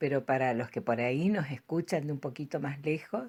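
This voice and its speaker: A woman talks with a very deep, low pitch and a dark, mellow tone. Her intonation is lively. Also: very clean recording, silent background. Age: 70s. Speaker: storyteller. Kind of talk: personal reminiscence. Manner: hesitant, with fillers.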